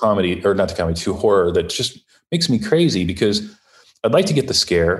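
Somewhat breathy and fairly low in pitch, a man with an American accent talks at a very fast pace with very wide pitch swings. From US Midwest, Ohio. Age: 50s. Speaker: children's book author and former horror filmmaker. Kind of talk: casual interview.

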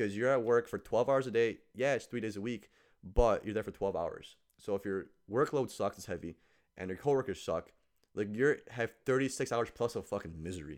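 An ordinary speaking voice at a fairly quick pace, with ordinary pitch variation, on a very clean recording with a silent background. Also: man, medium pitch for a man. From rural Poland, then Chicago. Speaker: ICU travel nurse and podcaster. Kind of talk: casual chat.

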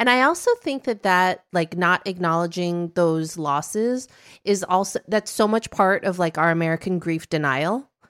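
A woman speaks in an ordinary speaking voice at medium pitch with ordinary pitch variation and a moderate pace, her sound dry and close with no echo on a very clean recording with a silent background. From US Midwest. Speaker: podcast host and media founder. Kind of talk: casual chat.

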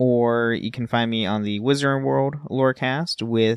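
This man has a normal speaking voice, medium in pitch with ordinary variation, at a moderate pace. The sound is dry and close with no echo, against a quiet background. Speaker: podcast co-host. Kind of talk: casual chat.

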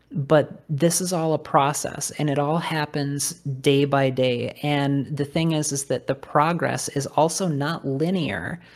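This woman's pitch is very deep and low. She speaks at a very slow pace with fairly even intonation. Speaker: guitarist and songwriter. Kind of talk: casual chat.

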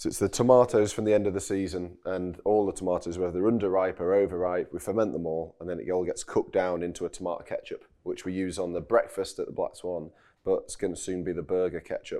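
Speaking at a very fast pace with hardly any pauses, a man with a Yorkshire accent is heard over a quiet background. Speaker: chef and restaurant owner. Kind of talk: casual chat. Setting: outdoors on a farm.

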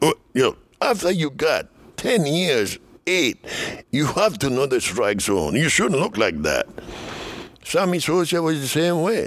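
A man with a Dominican accent speaks at a fairly slow pace in a fairly high voice with vocal fry, very wide pitch swings and very even loudness. He leaves long, frequent pauses. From Dominican Republic. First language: Spanish. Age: 70s. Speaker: former baseball player. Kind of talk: casual interview, storytelling. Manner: animated, laughs often.

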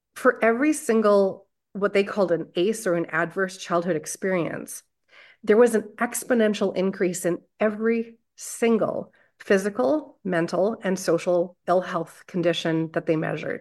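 Speaking at a moderate pace, a woman with a Canadian accent uses medium pitch and ordinary pitch variation. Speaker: family physician and trauma therapist. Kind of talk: interview conversation. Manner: informal.

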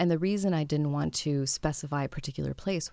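On a very clean recording with a silent background, a woman speaks at a very fast pace in a dark, mellow tone with ordinary pitch variation. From France, Pakistani family. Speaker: novelist and humanitarian aid worker. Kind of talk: interview.

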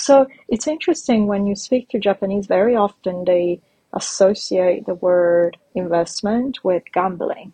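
A woman speaks at medium pitch in a somewhat breathy, dark, mellow tone with lively intonation. Her pace is moderate, and the sound is dry and close with no echo. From Italy. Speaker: startup founder and investor. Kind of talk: interview.

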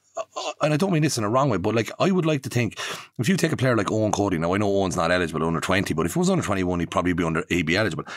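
Pitched fairly low, a man races along at a very fast pace with very wide pitch swings and very even loudness. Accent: Irish. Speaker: podcast host. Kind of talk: casual interview chat. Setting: studio. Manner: halting.

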